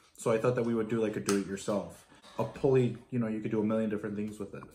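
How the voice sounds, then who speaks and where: Through noticeable background noise, a man speaks with fairly even intonation. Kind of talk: casual tutorial vlog chat. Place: home room. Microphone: phone near.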